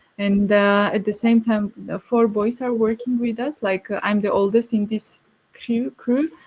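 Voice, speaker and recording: The voice has a Georgian accent and monotone, flat intonation. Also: woman. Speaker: winemaker. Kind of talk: panel discussion. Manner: halting.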